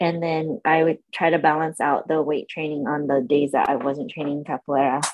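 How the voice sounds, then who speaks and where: A woman with a Californian accent speaks at a moderate pace, her very deep, low pitch carrying fairly even intonation. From San Diego, California. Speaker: eyelash extension artist. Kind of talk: casual interview chat.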